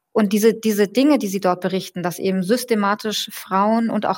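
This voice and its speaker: A woman talks fairly quickly, her medium pitch varying in an ordinary way. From German-Iranian. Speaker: journalist and political scientist. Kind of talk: interview. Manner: hesitant, many fillers.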